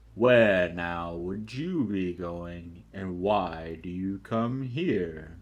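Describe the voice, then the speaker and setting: Putting on a character voice, a man speaks at a very deep, low pitch and a very slow pace with hardly any pauses. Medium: read story. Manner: slow, deliberate, with humming pauses.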